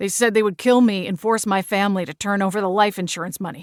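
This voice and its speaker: A woman's raspy, put-on character voice at a medium pitch and fairly quick pace, on a very clean recording with a silent background. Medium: read story.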